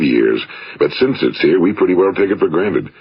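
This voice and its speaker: In an American accent, the speaker talks at a very fast pace with ordinary pitch variation against noticeable background noise. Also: man. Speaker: radio broadcaster and motivational speaker. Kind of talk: motivational speech / self-help recording. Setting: vintage 1950s studio recording.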